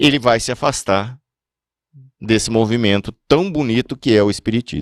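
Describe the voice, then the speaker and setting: At a moderate pace and with long, frequent pauses, a man talks with ordinary pitch variation in a dry, close sound with no echo. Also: medium pitch for a man. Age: 60s. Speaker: podcast host, spiritist speaker. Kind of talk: religious talk podcast. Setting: podcast.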